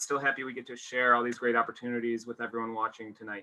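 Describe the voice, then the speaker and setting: This is a man speaking with an American accent. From US Midwest, small-town Illinois. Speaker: university admissions representative. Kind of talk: webinar presentation.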